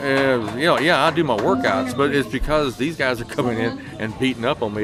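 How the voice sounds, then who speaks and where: Against noticeable background noise, a man at medium pitch talks at a very fast pace with hardly any pauses and ordinary pitch variation. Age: 60s. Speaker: arm wrestling coach and competitor. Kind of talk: casual interview.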